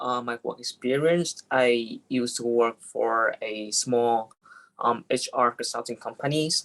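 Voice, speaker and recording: Spoken at a fairly slow pace in a Vietnamese accent. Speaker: business development specialist, panelist. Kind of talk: panel discussion. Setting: video call. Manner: halting.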